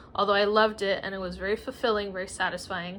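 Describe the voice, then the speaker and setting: A woman with a Spanish accent on a very clean recording, silent background. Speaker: writer and former teacher. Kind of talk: casual vlog monologue. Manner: hesitant, many fillers.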